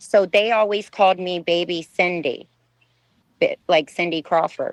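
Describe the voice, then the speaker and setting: This is a normal speaking voice with an American accent, moving at a fairly slow pace with fairly even intonation. The sound is dry and close, with no echo. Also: woman, medium pitch for a woman. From Texas, US. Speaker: ex-model. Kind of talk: interview testimony.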